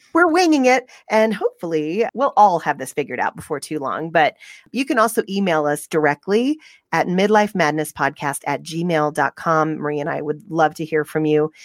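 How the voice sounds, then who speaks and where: An ordinary speaking voice with lively intonation at a moderate pace, in a dry, close sound with no echo. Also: woman, fairly low pitch for a woman. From US South. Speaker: podcast host. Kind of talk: casual chat. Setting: remote recording from home.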